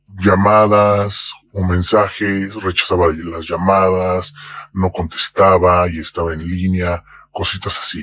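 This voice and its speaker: Very deep and low in pitch, a man speaks at a very slow pace with monotone, flat intonation. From Mexico. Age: 40s. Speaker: anonymous interviewee. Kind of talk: testimony.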